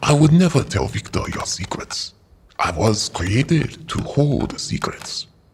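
This man uses a put-on character voice. It sits at a fairly high pitch. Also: fairly slow pace.

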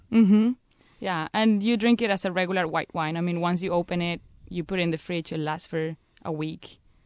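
The speech comes at a fairly quick pace with a Spanish accent. The sound is dry and close, with no echo. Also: woman, fairly low pitch for a woman, ordinary pitch variation. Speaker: sherry producer representative. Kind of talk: interview.

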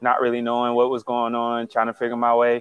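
He speaks with an American accent. The man's pitch is medium. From Texas. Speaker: pro football player. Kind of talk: interview. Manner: hesitant, many fillers.

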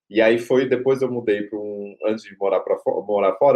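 Monotone, flat intonation at a fairly quick pace. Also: man. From Greater São Paulo, Brazil (Carapicuíba). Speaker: lawyer and law professor. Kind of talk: interview. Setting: remote recording.

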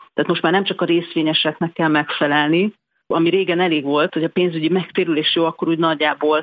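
Very fast, monotone speech from a woman, fairly low in pitch, with flat intonation and very even loudness. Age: 40s. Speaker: bank executive. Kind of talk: interview.

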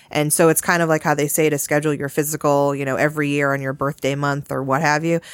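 A woman's very deep, low voice with an American accent, very fast pace, hardly any pauses and monotone, flat intonation. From Massachusetts. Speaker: employment lawyer. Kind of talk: casual chat.

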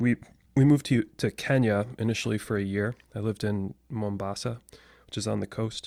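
A man with a General American accent talks at a fairly quick pace in a fairly low, dark, mellow voice with fairly even intonation, recorded very cleanly against a silent background with a dry, close sound and no echo. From US Midwest. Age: 30s. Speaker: podcast guest. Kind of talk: casual chat.

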